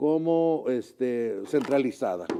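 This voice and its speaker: Ordinary pitch variation runs through a man's dark, mellow tone. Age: 70s. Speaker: retired teacher and author. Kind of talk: interview. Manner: halting, many fillers.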